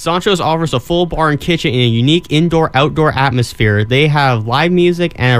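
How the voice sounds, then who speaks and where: A plain, everyday voice: a man at fairly high pitch, fairly quick pace and ordinary pitch variation. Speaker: college radio co-host. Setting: radio studio.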